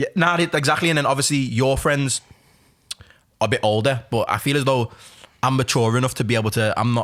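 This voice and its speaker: A man talks at a very fast pace and medium pitch, with ordinary pitch variation. His loudness stays very even, broken by long, frequent pauses. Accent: Liverpool. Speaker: music artist and podcast co-host. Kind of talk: casual chat.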